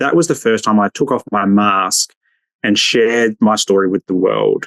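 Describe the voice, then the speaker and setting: At a moderate pace, a man with an Australian accent speaks in a fairly low pitch, in a dry, close sound with no echo. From Australia, Adelaide northern suburbs. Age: 40s. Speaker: social worker and men's mental health advocate. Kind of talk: podcast interview.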